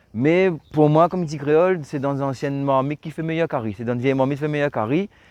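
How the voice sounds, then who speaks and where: Delivered at a fairly quick pace, a plain, everyday voice with ordinary pitch variation comes through in a dry, close sound with no echo. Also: man. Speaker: car channel host. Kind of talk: casual video presentation and interview.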